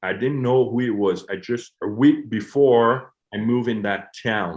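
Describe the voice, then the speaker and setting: A man speaks in a Quebec accent. His pitch is medium and his pace moderate. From Quebec, Montreal. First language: French. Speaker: hockey coach. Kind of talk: interview. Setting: podcast.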